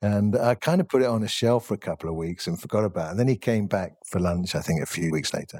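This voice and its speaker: In a dry, close recording with no echo, a man with an English accent and a fairly low pitch races along at a very fast pace with hardly any pauses. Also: ordinary pitch variation, very clean recording, silent background. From England. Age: 50s. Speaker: chef. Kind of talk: interview.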